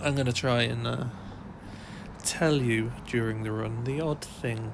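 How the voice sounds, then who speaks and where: With an English accent and fairly even intonation, a man talks amid noticeable background noise and audible room echo. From England. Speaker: running vlogger. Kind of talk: voiceover narration. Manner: hesitant, many fillers.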